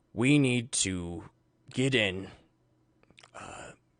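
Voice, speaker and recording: A man's raspy, put-on character voice in a dry, close sound with no echo. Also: quiet background. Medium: actual play. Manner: earnest, persuasive.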